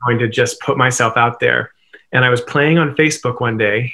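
The speech moves at a fairly quick pace over a quiet background. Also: man. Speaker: interview guest. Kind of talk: interview answer. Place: home room. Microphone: webcam.

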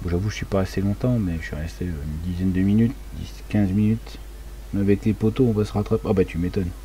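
The pace is fairly quick, with ordinary pitch variation. A man's very deep, low pitch carries it. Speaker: gaming streamer. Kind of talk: casual live stream chat.

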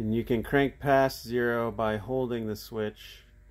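Noticeable background noise behind fairly slow speech. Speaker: marine electronics technician; technician demonstrating a modification. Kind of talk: tutorial. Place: workshop. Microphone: phone near.

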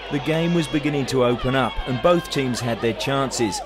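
A man with an Australian accent talks at a moderate pace and medium pitch, with ordinary pitch variation. Noticeable background noise sits behind him. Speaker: football commentator. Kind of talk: sports commentary, recapping match highlights as voiceover. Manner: brisk, fluent, play-by-play narration with lively, even pacing.

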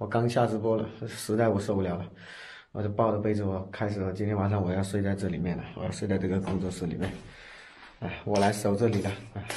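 In a somewhat breathy voice, a man talks very fast with monotone, flat intonation. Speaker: vlogger. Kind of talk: casual vlog chat. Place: studio. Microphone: phone near.

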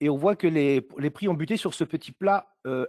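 Nothing much stirs in the quiet background. The sound is dry and close, free of echo. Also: man. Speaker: forex trader and forum moderator. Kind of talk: live webinar chart analysis.

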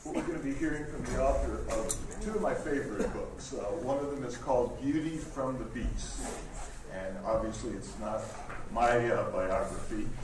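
A man's speech at a moderate pace amid audible room echo and noticeable background noise. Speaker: event host introducing speaker. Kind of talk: event announcement and introduction. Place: hall. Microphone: camera far.

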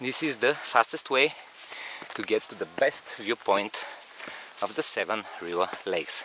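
Noticeable background noise sits under a man speaking at a fairly slow pace. The sound is dry, with no echo. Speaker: hiking vlogger. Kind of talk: casual vlog chat. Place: open country. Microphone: phone near.

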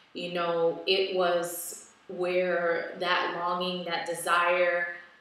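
A woman's voice with audible room echo. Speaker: wellness vlogger. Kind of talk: casual vlog chat. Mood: reflective, personal. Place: home room. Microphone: webcam.

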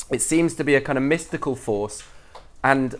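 Male speech, moderately paced. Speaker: speaker. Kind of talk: lecture. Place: hall.

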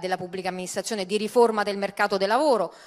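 A woman's voice over a quiet background. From Italy. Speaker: party culture and tourism spokesperson; tourism spokesperson. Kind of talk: panel debate. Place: stage. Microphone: handheld.

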